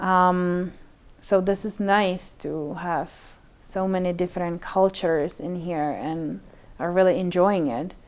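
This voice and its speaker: A woman with a Czech accent speaks at a fairly slow pace in a fairly low pitch, her intonation fairly even, on a very clean recording with a silent background. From Czech Republic. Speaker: community member. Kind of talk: personal testimony. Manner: hesitant with fillers.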